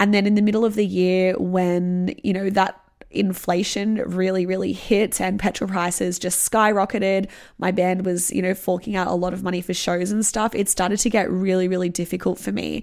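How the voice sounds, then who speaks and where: A woman with an Australian accent speaks at medium pitch in a monotone, flat intonation on a very clean recording with a silent background. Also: moderate pace. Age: 30s. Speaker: podcast host and musician. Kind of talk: solo monologue.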